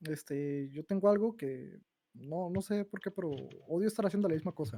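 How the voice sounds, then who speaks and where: Fairly quick and fairly high-pitched, a man talks with a dark, mellow tone and ordinary pitch variation. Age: 20s. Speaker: game developer. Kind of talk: casual chat.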